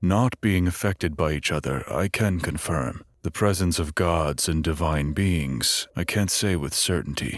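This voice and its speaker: A man speaks at a moderate pace in a put-on character voice with a very deep, low pitch and hardly any pauses, on a very clean recording with a silent background. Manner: hesitant.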